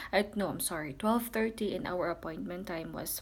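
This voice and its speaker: A woman with a Filipino accent, medium in pitch, with ordinary pitch variation. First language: Tagalog. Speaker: vlogger. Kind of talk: casual personal account. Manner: halting, many fillers.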